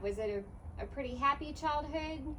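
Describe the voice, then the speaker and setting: A woman speaks in a high voice. Noticeable background noise runs behind her. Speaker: author and interviewer. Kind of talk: interview questions.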